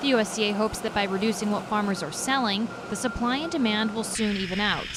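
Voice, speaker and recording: Noticeable background noise sits behind a woman speaking with an American accent. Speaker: TV news reporter and anchor. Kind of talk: TV news package voice-over.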